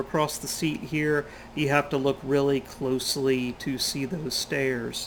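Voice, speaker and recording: Here is a man with an ordinary speaking voice. He talks at a fairly slow pace in a fairly high pitch. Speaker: flight sim YouTuber. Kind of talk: tutorial. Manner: casual.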